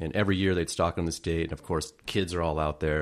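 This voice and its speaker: On a very clean recording with a silent background, a man with an American accent speaks fairly quickly with a very deep, low pitch and ordinary pitch variation. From US West Coast, northern Santa Cruz County, California. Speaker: fish artist and angler. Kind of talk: casual chat.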